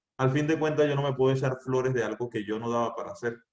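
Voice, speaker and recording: The man's voice is somewhat breathy and set at a medium pitch. He talks at a fairly quick pace with ordinary pitch variation. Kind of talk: youth talk. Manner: serious.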